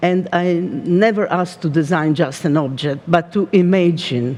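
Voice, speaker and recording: A woman with an Italian accent speaks in a fairly low pitch with ordinary pitch variation. Noticeable background noise is present. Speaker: design company art director. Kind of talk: keynote talk. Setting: stage with audience. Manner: halting.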